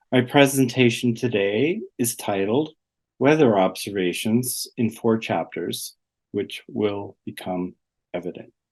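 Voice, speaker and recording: With a Canadian accent, a man speaks at a fairly slow pace in an ordinary speaking voice. His medium pitch shows ordinary variation against a quiet background. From southwestern Ontario, Canada. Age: 60s. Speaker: artist and retired gallery director. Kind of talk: presentation talk.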